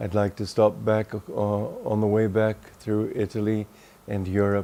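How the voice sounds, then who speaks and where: In an American accent, a man speaks with a dark, mellow tone and fairly low pitch. His delivery is fairly slow and monotone. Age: 70s. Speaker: spiritual teacher. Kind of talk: video message.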